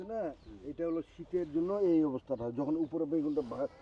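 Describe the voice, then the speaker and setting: A man's fairly high-pitched voice carries a dark, mellow tone. The sound is dry and close with no echo. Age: 60s. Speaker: farmer. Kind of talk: casual conversation. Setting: outdoors in a vegetable field.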